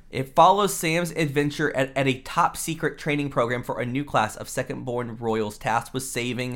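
A man speaks in a normal speaking voice with an American accent, medium in pitch and with ordinary pitch variation. His pace is moderate, and the recording is very clean with a silent background. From Houston, Texas. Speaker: podcast host. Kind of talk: casual chat.

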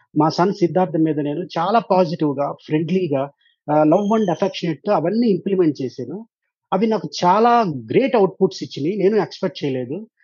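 A man with a high pitch and ordinary variation in it. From Andhra Pradesh, Guntur district (Tenali). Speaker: software professional and parent. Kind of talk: interview. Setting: virtual studio.

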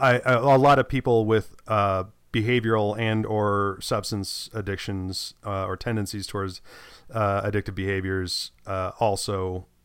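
Recorded very cleanly against a silent background, a man talks at a fairly slow pace with a fairly low pitch and fairly even intonation. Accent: American. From United States. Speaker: podcast co-host. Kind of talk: casual chat. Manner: halting, many restarts and fillers.

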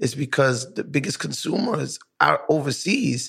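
Slowly, at a fairly slow pace, a man speaks in a fairly high, bright, sharp voice with vocal fry. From Brooklyn, New York. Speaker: podcast host. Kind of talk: casual interview chat. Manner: animated.

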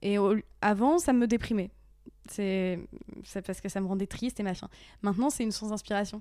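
Her medium-pitched voice has a dark, mellow tone and ordinary pitch variation, captured on a very clean recording with a silent background. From northern France, Picardie (Aisne). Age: 30s. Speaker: actress and YouTube influencer. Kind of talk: casual interview chat. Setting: at home on a couch. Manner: hesitant, many fillers.

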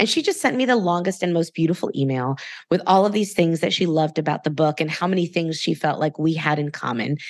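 Her fairly low-pitched voice is animated and very fast, with ordinary pitch variation and very even loudness. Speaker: podcast host and author. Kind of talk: casual interview chat.

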